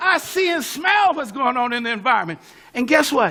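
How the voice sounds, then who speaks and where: This man talks at a moderate pace in an animated tone with an American accent. His raised, projected voice sits at an extremely high pitch, with lively intonation. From California, western US. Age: 70s. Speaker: pastor and civil rights activist. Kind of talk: speech. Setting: conference room with audience.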